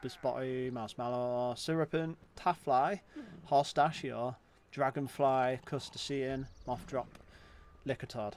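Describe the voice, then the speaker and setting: A fairly high-pitched man in a strong British accent, at a fairly slow pace. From Britain. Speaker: gaming streamer. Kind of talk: gameplay livestream commentary. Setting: livestream. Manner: animated.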